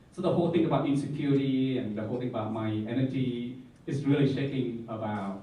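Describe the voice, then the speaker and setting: A man with a Vietnamese accent speaks at a fairly quick pace and medium pitch, with ordinary pitch variation, audible room echo, and noticeable background noise. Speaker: Jesuit campus minister. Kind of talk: panel talk, personal reflection. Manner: halting.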